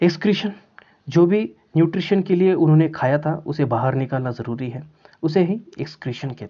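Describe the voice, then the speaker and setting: His loudness swings widely as a man speaks at a moderate pace. His pitch is fairly high with ordinary variation. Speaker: biology teacher. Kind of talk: lecture. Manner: hesitant with filler sounds.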